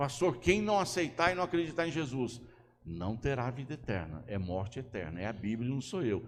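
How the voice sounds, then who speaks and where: This man's voice sits at a medium pitch and swings very widely up and down. He talks at a moderate pace, with audible room echo around him. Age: 60s. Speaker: pastor. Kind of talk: sermon.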